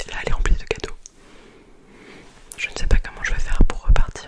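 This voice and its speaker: A woman whispers over noticeable background noise. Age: 20s. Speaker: ASMR creator. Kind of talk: casual ASMR chat about Christmas gifts. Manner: whispered.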